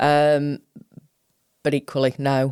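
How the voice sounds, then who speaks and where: A woman with a Sheffield accent and a very deep, low pitch, in a dry, close sound with no echo. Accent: broad Sheffield. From South Yorkshire, England (Sheffield). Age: 50s. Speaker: college principal and chief executive. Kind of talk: interview. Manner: informal, chatty.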